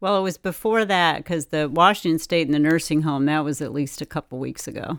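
This woman has a very deep, low pitch, ordinary pitch variation and a fairly quick pace, captured in a very clean recording with a silent background. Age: 60s. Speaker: pastor. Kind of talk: casual chat.

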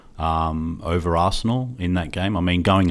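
With an Australian accent, a man speaks in a very deep, low pitch at a moderate pace. The recording is very clean, with a silent background. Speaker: football podcast co-host. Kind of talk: casual chat. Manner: hesitant, many fillers.

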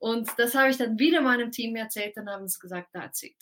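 A woman's plain, everyday voice, fairly high in pitch, with fairly even intonation. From Switzerland. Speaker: time expert, speaker. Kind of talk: casual interview.

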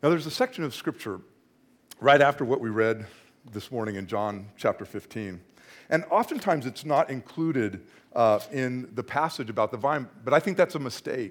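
A man's normal speaking voice at medium pitch and moderate pace, lively in intonation, on a very clean recording with a silent background. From Northern California. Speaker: associate pastor. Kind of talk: sermon. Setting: church.

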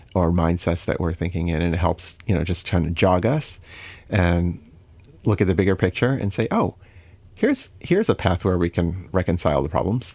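In a very clean recording with a silent background, a man with an American accent talks in a very deep, low pitch. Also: ordinary pitch variation, moderate pace. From US Midwest (Chicago area). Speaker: computer science professor. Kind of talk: interview.

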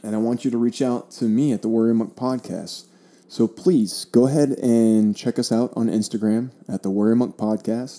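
A man with an American accent speaks in a dark, mellow tone. His pace is moderate and his intonation fairly even. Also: medium pitch for a man. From US, South Florida. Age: 30s. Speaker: podcast host, Air Force member. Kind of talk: solo podcast monologue. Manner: casual, with frequent fillers.

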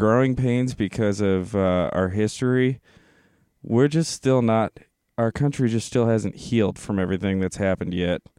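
With an American accent, a man speaks in a dark, mellow tone at a moderate pace with ordinary pitch variation. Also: quiet background. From US South. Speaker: podcast co-host. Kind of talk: casual chat; reading aloud.

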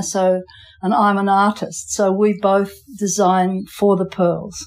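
The pace of speech is fairly slow. It comes in an Australian accent. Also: woman. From England, moved to Western Australia at five. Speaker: island fisher and pearl farmer, artist. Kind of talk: casual interview. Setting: on location on an island. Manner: halting, with repeated words.

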